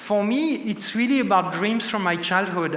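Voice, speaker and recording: A man's raised, projected voice at a moderate pace, with audible room echo and noticeable background noise. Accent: French. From France, Paris. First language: French. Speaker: tech executive, keynote speaker. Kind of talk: conference keynote. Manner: many filler sounds and restarts.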